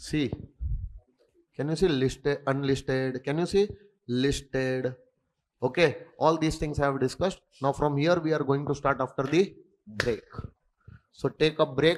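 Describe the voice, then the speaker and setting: With an Indian accent, a man talks at a fairly high pitch with fairly even intonation and long, frequent pauses. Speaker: accountancy and tax exam tutor. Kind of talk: lecture.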